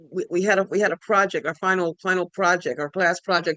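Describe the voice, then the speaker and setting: Against a quiet background, a woman talks fairly quickly with fairly even intonation, the sound dry and close with no echo. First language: Spanish. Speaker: spiritual speaker. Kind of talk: personal testimony talk. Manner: halting, many fillers.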